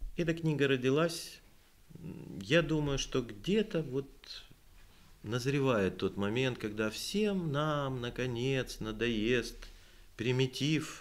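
The speech moves at a very slow pace, broken by long, frequent pauses, with lively intonation. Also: man. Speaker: poet and composer; poet. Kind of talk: literary talk with poetry reading. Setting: library event with audience. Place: hall. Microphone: podium.

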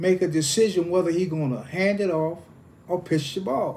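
At a moderate pace, a man speaks in a high pitch with ordinary variation. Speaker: football coach. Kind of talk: interview answer. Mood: calm, reminiscing. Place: home room. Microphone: phone near.

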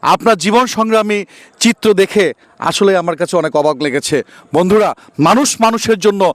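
A man speaks in a high voice, recorded dry and close with no echo. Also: ordinary pitch variation. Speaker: street interview vlogger. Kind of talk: street interview vlog.

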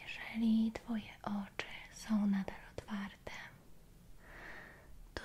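A woman whispers in a soothing tone. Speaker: relaxation roleplay guide. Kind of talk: soft guided relaxation. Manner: soft, quiet soothing speech. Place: home room.

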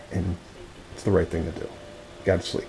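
A man's words come at a moderate pace, with light background noise behind them. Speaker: family vlogger. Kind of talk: casual vlog chat.

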